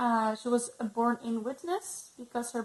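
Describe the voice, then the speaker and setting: Speaking at a moderate pace with a non-native accent, a woman uses a high pitch and ordinary pitch variation over noticeable background noise. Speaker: ex-Jehovah's Witness vlogger. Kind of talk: personal testimony vlog. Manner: halting, many fillers.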